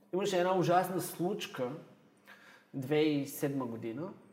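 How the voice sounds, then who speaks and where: This man's voice sits high in pitch, with ordinary pitch variation. Audible room echo surrounds it. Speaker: history teacher. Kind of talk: casual chat.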